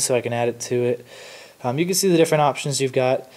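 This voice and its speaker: A man with a medium-pitched voice talks amid noticeable background noise. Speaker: tech youtuber. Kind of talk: tutorial. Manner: fast; casual with fillers.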